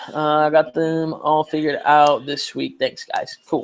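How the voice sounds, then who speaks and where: His pitch sits fairly high for a man. The male speaker keeps a moderate tempo. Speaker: study group leader. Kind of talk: casual chat. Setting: video call.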